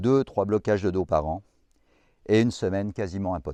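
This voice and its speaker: Over a quiet background, a man speaks at a moderate pace with a fairly low pitch. His tone is dark and mellow, and the sound is dry and close with no echo. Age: 60s. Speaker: fitness vlogger. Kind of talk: tutorial.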